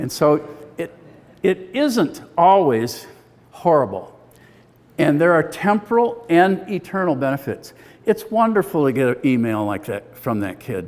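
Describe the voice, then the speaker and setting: This man has an American accent and a high pitch with very wide swings. He talks at a fairly slow pace with long, frequent pauses. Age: 70s. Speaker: retired biology teacher and speaker. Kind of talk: testimony talk.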